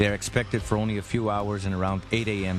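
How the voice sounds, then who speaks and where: Music can be heard behind the speaker. He is a man talking fairly quickly. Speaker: radio host. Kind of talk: documentary narration.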